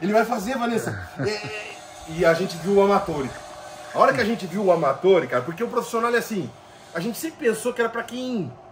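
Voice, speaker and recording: The speaker talks at a very fast pace over light background noise. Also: man. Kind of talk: interview answer. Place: garden.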